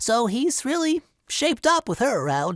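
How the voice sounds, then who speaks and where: Over a silent background in a very clean recording, a man puts on a character voice at an extremely high pitch and a moderate pace. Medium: comedy sketch.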